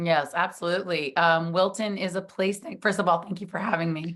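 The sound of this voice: Putting on a character voice, a woman speaks at a fairly quick pace with a medium pitch, sounding hoarse, raspy, and strained, with fairly even intonation.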